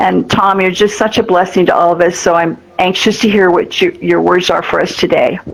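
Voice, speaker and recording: Over noticeable background noise, a woman speaks at a fairly quick pace with hardly any pauses and very even loudness. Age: 80s+. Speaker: nonprofit organization leader, event host. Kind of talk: award ceremony speech. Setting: virtual reality event.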